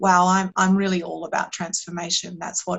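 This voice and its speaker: A woman speaks with an Australian accent. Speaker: meditation and performance coach. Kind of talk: podcast interview. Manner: hesitant, with fillers and repeats.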